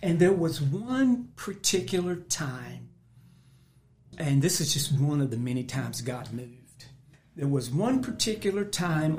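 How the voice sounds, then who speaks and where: Somewhat breathy and fairly slow, a man speaks at a fairly high pitch with very wide pitch swings. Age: 60s. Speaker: pastor. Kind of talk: testimony.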